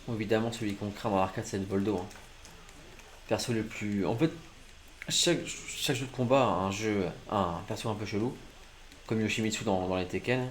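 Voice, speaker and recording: With audible room echo, a man with a fairly low voice talks at a moderate pace, his pitch varying in an ordinary way and his speech broken by long, frequent pauses. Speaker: gaming streamer. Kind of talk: live gameplay commentary. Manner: poor articulation, stumbling; animated.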